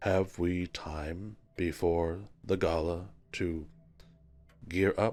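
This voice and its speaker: Using a put-on character voice, a man drops to a very deep, low pitch. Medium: actual play. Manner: formal, stilted, earnest.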